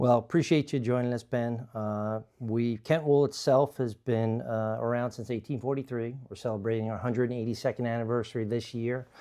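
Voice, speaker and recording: Speaking fairly quickly with hardly any pauses, the voice has a dark, mellow tone and an American accent. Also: man, medium pitch for a man, fairly even intonation. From New York, Long Island. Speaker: company executive. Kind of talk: interview. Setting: conference room. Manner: halting, many fillers.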